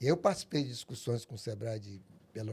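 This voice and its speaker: A man's medium-pitched voice, somewhat breathy, with a dark, mellow tone and lively intonation. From Brazil, Tocantins (Porto Nacional). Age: 60s. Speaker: documentary filmmaker. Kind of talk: podcast interview.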